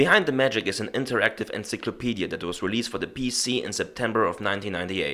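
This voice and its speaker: On a very clean recording with a silent background, a man talks at a very fast pace with a non-native accent. His voice is medium-pitched with a bright, sharp tone. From Germany. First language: German. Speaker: YouTube reviewer. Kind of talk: video review narration.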